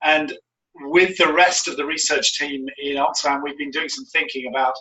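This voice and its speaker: At a fairly quick pace, a man speaks in a plain, everyday voice with a fairly high pitch. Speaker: NGO strategic advisor and researcher. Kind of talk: webinar lecture. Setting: video call from home.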